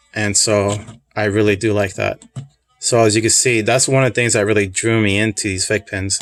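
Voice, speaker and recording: A man's fairly low voice, monotone and flat, at a fairly quick pace with music in the background. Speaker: pin collector video reviewer. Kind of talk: casual product review. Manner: relaxed, conversational.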